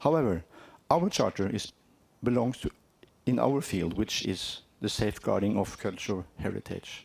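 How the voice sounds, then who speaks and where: The speaker has a strong Norwegian accent. The intonation is lively. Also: man, fairly low pitch for a man, moderate pace. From Norway. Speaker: cultural heritage organisation representative. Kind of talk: conference presentation. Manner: halting.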